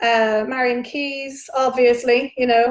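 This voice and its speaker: A woman with a fairly high pitch speaks at a fairly slow pace in a monotone, flat intonation. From Ireland, Dublin. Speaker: novelist. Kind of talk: virtual book launch Q&A. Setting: livestream. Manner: casual, chatty with many fillers.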